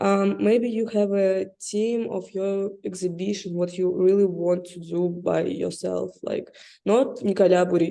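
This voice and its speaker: A woman with a non-native accent, medium pitch, a dark, mellow tone, fairly even intonation and a fairly slow pace. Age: young. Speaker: interviewer. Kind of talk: interview. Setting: video call. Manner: halting.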